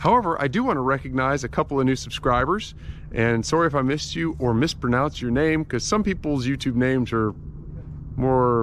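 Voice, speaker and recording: Fairly quick and with ordinary pitch variation, a man speaks. The sound is dry with no echo, over light background noise. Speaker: pilot vlogger. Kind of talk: casual vlog chat. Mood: friendly, upbeat. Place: open country. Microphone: phone near.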